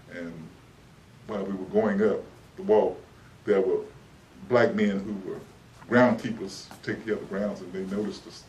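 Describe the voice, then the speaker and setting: A man with a Texan accent at a moderate pace, big swings in loudness and long, frequent pauses, over noticeable background noise. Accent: Texas Southern American English. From Dallas, Texas. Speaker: civil rights figure, educator. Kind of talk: oral history interview answer. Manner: hesitant, reflective.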